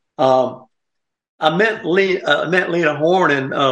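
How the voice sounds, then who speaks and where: A man talks with a Southern US accent. His pitch variation is ordinary. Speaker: radio host. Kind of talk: casual chat. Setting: studio.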